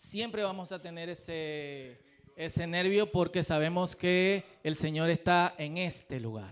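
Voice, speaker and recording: Speaking at a very slow pace with a Dominican accent, a man uses a high pitch and ordinary pitch variation. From Dominican Republic. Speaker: pastor. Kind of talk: sermon. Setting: church.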